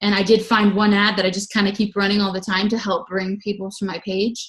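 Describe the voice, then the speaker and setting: Somewhat breathy, a woman talks at a medium pitch. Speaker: health and fitness coach. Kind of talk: team coaching call talk. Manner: fast.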